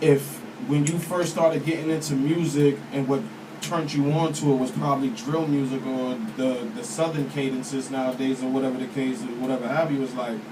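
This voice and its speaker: Amid noticeable background noise and audible room echo, a man with an American accent talks fairly quickly in a fairly high pitch. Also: ordinary pitch variation. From Boston. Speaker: rapper. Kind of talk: interview.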